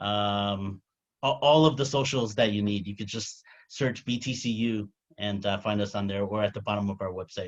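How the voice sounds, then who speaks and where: The voice belongs to a man and sits fairly low. His pitch varies in an ordinary way. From New York. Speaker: crypto company CEO. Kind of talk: interview. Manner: fast.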